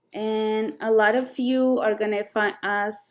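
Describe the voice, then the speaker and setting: A woman's fairly high voice at a very slow pace, with a strong non-native accent. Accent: thick non-native. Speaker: photo retoucher. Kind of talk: tutorial. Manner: hesitant, many fillers.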